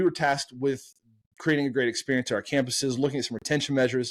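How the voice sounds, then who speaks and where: An American-accented man speaks in an energetic, animated tone on a very clean recording with a silent background. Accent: slight Southern, stronger on country topics. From US South. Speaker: marketing agency co-founder. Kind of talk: podcast interview. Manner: animated storytelling.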